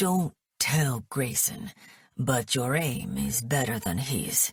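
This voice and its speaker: In a put-on character voice, someone talks very slowly at a low-to-middle pitch, sounding strained. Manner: strained, pained.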